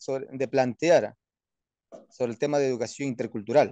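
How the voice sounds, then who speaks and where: Over a quiet background, the sound is dry with no echo. The man's voice has a fairly high pitch and a dark, mellow tone. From Peruvian Amazon, Wampís nation; Peru. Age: 30s. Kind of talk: interview. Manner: halting, many fillers. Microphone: phone near.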